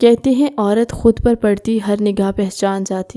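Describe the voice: Someone reads aloud plainly, with fairly even intonation.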